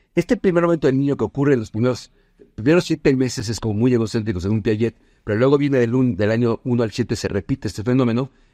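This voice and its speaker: Very fast male voice, dark and mellow, medium in pitch with ordinary pitch variation, in a dry, close sound with no echo. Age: 50s. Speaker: business consultant. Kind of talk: casual chat. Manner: halting.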